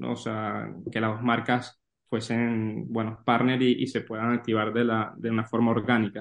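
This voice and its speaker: The man's voice sits at medium pitch with monotone, flat intonation. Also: moderate pace. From Venezuela. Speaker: sports business analyst. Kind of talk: interview. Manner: halting, many repeated words.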